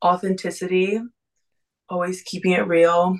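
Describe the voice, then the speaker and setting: Her intonation stays fairly even at a medium pitch. The woman keeps a moderate pace. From Texas. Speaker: college swimmer. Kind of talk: casual interview.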